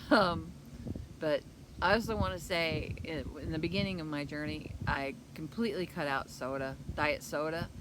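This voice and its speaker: In a room with audible echo, a woman with a very deep, low pitch talks at a moderate pace with lively intonation. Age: 60s. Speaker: keto vlogger. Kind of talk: casual vlog talk. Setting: outdoors. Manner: halting.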